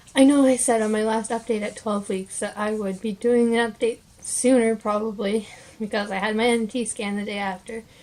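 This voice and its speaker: Noticeable background noise sits behind a woman with a fairly high pitch. She talks at a fairly quick pace with monotone, flat intonation. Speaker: vlogger. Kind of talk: casual vlog. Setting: home, at night, dim room. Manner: hesitant, many fillers.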